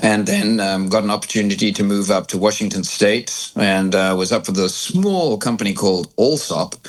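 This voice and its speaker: Speaking with an American accent, a man talks at a fairly low pitch with fairly even intonation and hardly any pauses. Noticeable background noise can be heard. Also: moderate pace. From South Africa. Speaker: cycling industry executive. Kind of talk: podcast interview.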